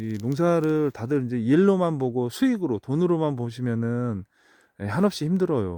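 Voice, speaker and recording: Against a quiet background, a man with a dark, mellow tone speaks at a moderate pace with lively intonation, the sound dry and close with no echo. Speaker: kiwiberry farmer. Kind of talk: outdoor farm tutorial vlog. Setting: outdoors in an orchard. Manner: casual, with many fillers.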